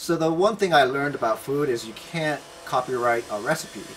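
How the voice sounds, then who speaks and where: At a fairly quick pace, a man talks with ordinary pitch variation over light background noise. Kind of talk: interview answer. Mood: relaxed, friendly.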